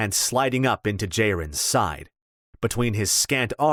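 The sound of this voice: The delivery is an unforced reading voice with ordinary pitch variation. The background is quiet.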